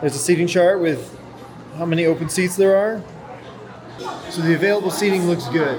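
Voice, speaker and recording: A man with a high pitch speaks at a fairly quick pace. Audible room echo and crowd noise fill the background. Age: 40s. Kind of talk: casual vlog narration. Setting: shopping mall.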